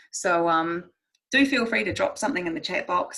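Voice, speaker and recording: In a New Zealand accent, a woman talks at a fairly quick pace and a fairly low pitch. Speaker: marine scientist, guest speaker. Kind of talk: presentation talk. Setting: video call from home bedroom. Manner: fast.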